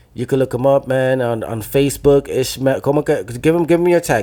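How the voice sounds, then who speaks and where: In a Dominican accent, a man talks at a fairly quick pace and medium pitch. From New Jersey, Dominican family. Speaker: podcast host, musician. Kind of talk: casual chat. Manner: animated.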